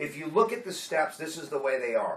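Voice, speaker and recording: A man with a fairly high voice and lively intonation talks while noticeable background noise plays. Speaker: AA workshop leader. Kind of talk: workshop teaching. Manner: casual, conversational.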